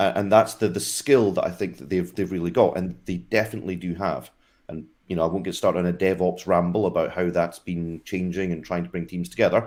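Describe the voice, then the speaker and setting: In a Scottish accent, a man with a very deep, low voice talks very fast with ordinary pitch variation, on a very clean recording with a silent background. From Scotland. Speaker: tech industry guest, former operations team lead. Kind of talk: casual video interview.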